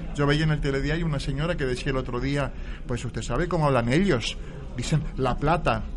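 There is audible room echo and noticeable background noise. A man with a fairly high pitch talks at a fairly quick pace with fairly even intonation. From Buenos Aires, Argentina. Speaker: writer and playwright. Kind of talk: radio interview. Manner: halting, repeats words.

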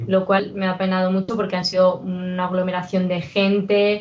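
A woman is talking. Her pace is moderate. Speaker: podcast panelist. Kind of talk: casual chat.

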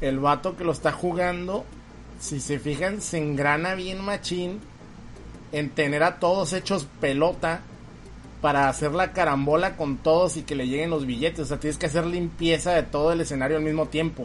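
A man's fairly high voice, an ordinary speaking voice, with ordinary pitch variation. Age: 30s. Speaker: podcast host. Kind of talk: casual chat.

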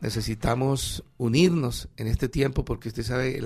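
Speaking fairly slowly at a medium pitch, a man shows vocal fry and fairly even intonation. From Colombia, Ibagué. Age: 60s. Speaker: pastor. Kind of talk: radio interview.

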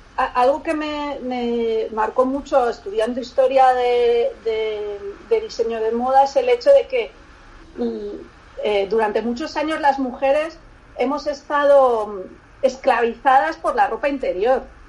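Against noticeable background noise, a woman with a high-pitched voice speaks at a fairly slow pace with ordinary pitch variation. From Barcelona, Spain. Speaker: lingerie designer. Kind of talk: interview. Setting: remote call. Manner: halting.

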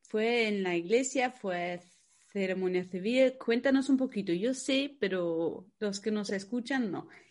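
A woman speaks with a non-native accent at a fairly slow pace. Her fairly high voice has ordinary pitch variation against a quiet background. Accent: foreign accent in Spanish. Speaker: podcast host, wedding planner. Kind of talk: casual interview.

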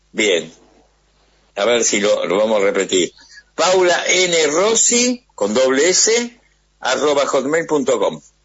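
Pitched fairly high, a man speaks very slowly with long, frequent pauses, very wide pitch swings and very even loudness. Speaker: radio host. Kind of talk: interview.

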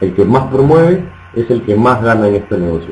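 A man's voice is heard with audible room echo. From Peru. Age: 20s. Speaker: network marketing trainer. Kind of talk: motivational training talk. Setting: online webinar.

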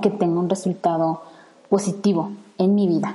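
Speaking at a fairly slow pace, a woman with a central Mexican accent uses a medium pitch, a dark, mellow tone and monotone, flat intonation. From Mexico, Salamanca, Guanajuato. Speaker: environmental engineer and podcaster. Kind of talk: solo podcast monologue. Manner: hesitant, many fillers.

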